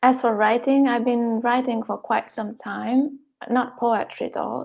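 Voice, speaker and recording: A woman's fairly high-pitched voice with a Hungarian accent, at a fairly slow pace. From Hungary. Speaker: poet. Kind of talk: interview. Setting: live stream.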